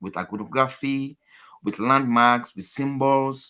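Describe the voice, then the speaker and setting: A man with a Nigerian accent speaks at a moderate pace, his medium-pitched voice bright and sharp in tone. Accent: Nigerian (Yoruba) English. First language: Yoruba. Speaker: academic presenter. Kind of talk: conference presentation. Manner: hesitant, many fillers.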